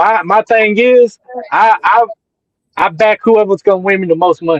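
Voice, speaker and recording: A man with a Southern US accent speaks at a fairly slow pace, high in pitch with ordinary pitch variation. The sound is dry and close, with no echo. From North Carolina. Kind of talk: casual chat. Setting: livestream.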